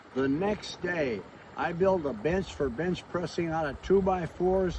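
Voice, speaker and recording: A man speaks at a high pitch and a fairly slow pace, with ordinary pitch variation. Noticeable background noise can be heard. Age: 80s+. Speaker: pastor and motivational speaker. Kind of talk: motivational talk.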